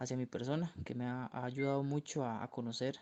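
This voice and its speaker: A man's medium-pitched, dark, mellow voice with a Costa Rican accent at a moderate pace. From Costa Rica, Turrialba. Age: 20s. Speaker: architecture student. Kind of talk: recorded interview answer.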